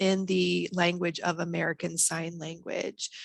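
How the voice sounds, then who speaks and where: The sound is dry and close, with no echo. A woman speaks at a moderate pace in a fairly low pitch. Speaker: college program presenter. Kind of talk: webinar presentation. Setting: video call.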